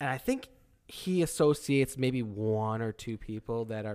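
A man speaks in a normal speaking voice at a moderate pace and medium pitch. The recording is very clean, with a silent background. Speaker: podcast co-host. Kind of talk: casual chat.

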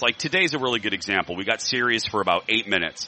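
Over noticeable background noise, a man with an American accent talks in an energetic tone at a very fast pace, with ordinary pitch variation. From Indiana, small town. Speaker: radio host and biscuit company owner. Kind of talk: casual chat. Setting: live broadcast at a state fair.

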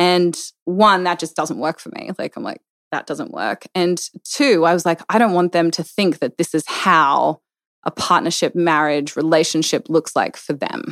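Recorded very cleanly against a silent background, a woman with an Australian accent talks at a moderate pace and a fairly low pitch, with ordinary pitch variation and a dry, close sound with no echo. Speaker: business owner and mother. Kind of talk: casual chat.

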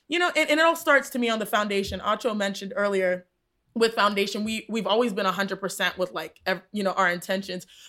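A woman speaks very fast at medium pitch, her tone bright and sharp and her intonation lively, in a very clean recording with a silent background. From Texas, US. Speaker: podcast co-host, sports broadcaster. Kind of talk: casual chat.

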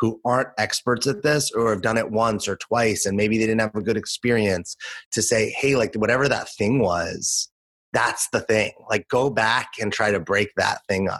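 A man with an American accent talks at a moderate pace with fairly even intonation and a fairly low pitch. He has a plain, everyday voice, recorded dry and close with no echo. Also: quiet background. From Los Angeles, US. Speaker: podcast co-host. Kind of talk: casual chat.

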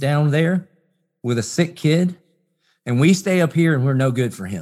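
A man speaks in a Southern US accent at a moderate pace, with a fairly high pitch and lively intonation. The recording is very clean, with a silent background. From US South. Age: 40s. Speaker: pastor. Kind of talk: interview.

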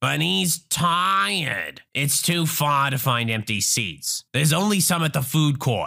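On a very clean recording with a silent background, a man speaks slowly in a put-on character voice that is fairly high in pitch, bright and sharp in tone, with vocal fry. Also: lively intonation.

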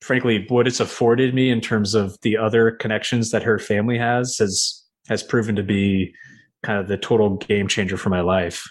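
A man's normal speaking voice at a medium pitch, American accent, fairly even intonation, moderate pace, very clean recording with a silent background. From New York. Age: 30s. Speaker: commercial real estate investor, former lawyer. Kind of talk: interview.

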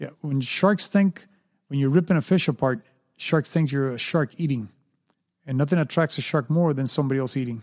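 A man with a plain, everyday voice and a fairly high pitch speaks fairly quickly with ordinary pitch variation. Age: 60s. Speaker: shark and alligator handler, free diver. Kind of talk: casual interview.

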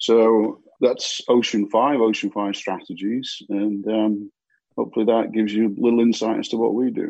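The man talks at a moderate speed. He speaks in a British accent. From UK. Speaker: marketing agency founder. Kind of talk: interview.

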